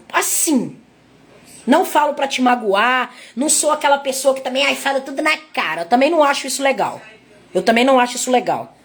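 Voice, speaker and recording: Her pitch is high, and the woman speaks at a moderate pace with ordinary pitch variation. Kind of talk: sermon. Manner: repetitive, halting.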